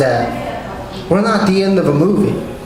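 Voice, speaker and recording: A man speaks over noticeable background noise. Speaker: poet. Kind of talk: poetry reading. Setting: live venue.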